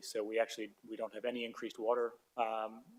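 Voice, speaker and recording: A man with an American accent, medium pitch and a very fast pace. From United States. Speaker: golf tourism and hospitality expert. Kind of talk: public hearing submission. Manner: hesitant, with frequent fillers.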